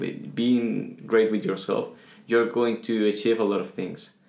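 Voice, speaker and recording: Moderate pace, with a Spanish accent. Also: man. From Venezuela. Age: 20s. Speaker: guest. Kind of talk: casual interview chat.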